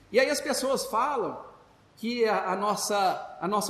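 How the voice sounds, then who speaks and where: Noticeable background noise and audible room echo surround a man whose voice sits at an extremely high pitch. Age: 60s. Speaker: spiritist lecturer. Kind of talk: religious talk. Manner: halting, many fillers and repetitions.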